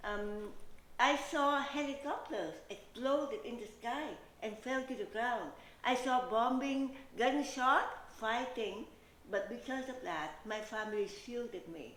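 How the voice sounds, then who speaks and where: With a Vietnamese accent, a woman speaks at a fairly slow pace in a high pitch with lively intonation, over noticeable background noise and audible room echo. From Vietnam, Saigon. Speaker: realtor and pageant contestant. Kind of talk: interview. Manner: hesitant, with fillers.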